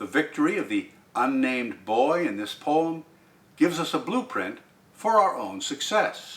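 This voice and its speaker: A man speaking at a very slow pace, with noticeable background noise. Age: old. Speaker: poetry reader. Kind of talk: poetry commentary.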